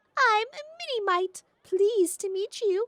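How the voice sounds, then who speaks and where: Using a put-on character voice, a woman speaks in a cheerful tone at an extremely high pitch. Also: moderate pace. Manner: chirping, cheerful.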